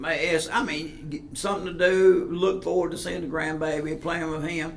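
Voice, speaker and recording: A high-pitched man with an American accent, moderate pace and fairly even intonation, amid audible room echo and noticeable background noise. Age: 60s. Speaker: sheriff's deputy, shooting survivor. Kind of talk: casual interview.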